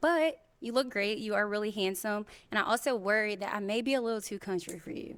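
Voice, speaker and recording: On a very clean recording with a silent background, a woman with a fairly high voice talks at a fairly quick pace in a Southern US accent, with ordinary pitch variation. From Mississippi, US South. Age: 20s. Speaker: dating show contestant. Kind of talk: casual chat.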